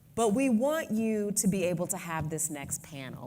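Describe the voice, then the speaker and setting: A woman speaks at a moderate pace, her pitch fairly low with very wide swings. Her tone is dark and mellow, and room echo is audible. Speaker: advocacy organization president. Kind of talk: conference speech.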